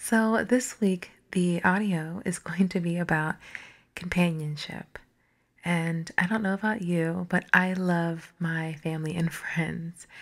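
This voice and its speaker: A woman talks at a very slow pace, her pitch fairly low and her intonation fairly even. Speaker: ASMR artist. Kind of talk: affirmations for sleep. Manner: soft-spoken, slow.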